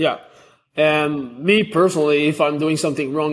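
In a Quebec accent, a man with a fairly high pitch speaks at a fairly quick pace with fairly even intonation. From Quebec (Montreal), Canada. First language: French. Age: 20s. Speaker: athlete. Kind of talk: interview. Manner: halting.

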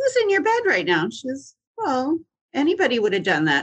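This woman's pitch swings very widely while she keeps a moderate pace. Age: 60s. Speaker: singer-songwriter and comedian. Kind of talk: casual interview.

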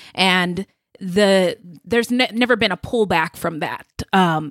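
Using a plain, everyday voice, a woman speaks at a fairly slow pace with medium pitch and ordinary pitch variation, the sound dry and close with no echo. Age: 30s. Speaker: podcast co-host. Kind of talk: casual interview.

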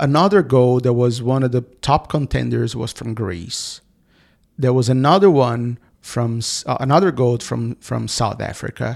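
A man with a Portuguese accent, medium pitch and a fairly slow pace. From Brazil. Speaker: advertising agency founder and author. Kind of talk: interview. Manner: halting, many repetitions.

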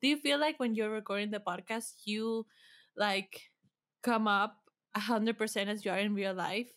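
At a moderate pace, with ordinary pitch variation, an ordinary speaking voice comes through on a very clean recording with a silent background. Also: woman, fairly high pitch for a woman. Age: 20s. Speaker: podcast producer. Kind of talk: casual chat.

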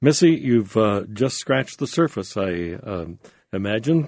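A man speaks in a normal speaking voice at a fairly low pitch. His pace is moderate, and the background is quiet. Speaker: radio host. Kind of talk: radio interview. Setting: studio.

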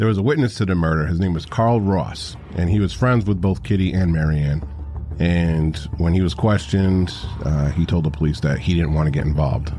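Noticeable background noise sits behind a man's very deep, low voice. He talks at a fairly quick pace with very even loudness. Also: ordinary pitch variation. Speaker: true crime podcast host.

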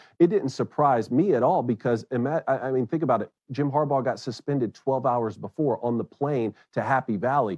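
A man's plain, everyday voice with an American accent at medium pitch, fairly quick with hardly any pauses, ordinary pitch variation and a dry, close sound with no echo. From US South, South Georgia. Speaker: former college quarterback, sports radio host. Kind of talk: sports talk interview.

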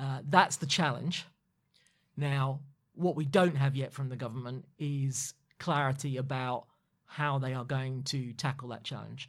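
Somewhat breathy and fairly high in pitch, a man talks at a fairly slow pace with fairly even intonation. The recording is very clean, with a silent background. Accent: southern English. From London. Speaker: former political chief of staff. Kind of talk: interview.

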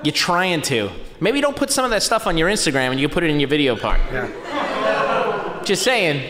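Against noticeable background noise, a man speaks at a high pitch with very wide pitch swings and very even loudness. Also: moderate pace. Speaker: skateboard photographer and filmer. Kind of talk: live podcast interview. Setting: stage with audience. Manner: animated.

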